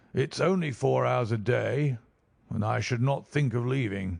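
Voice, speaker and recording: A put-on character voice with a raspy edge. It moves at a moderate pace with very even loudness. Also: man, medium pitch for a man. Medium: read story.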